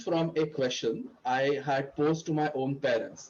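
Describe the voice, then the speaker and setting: The speaker is a man. His voice sits fairly high. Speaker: club president. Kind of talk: opening speech. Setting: video call. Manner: loud.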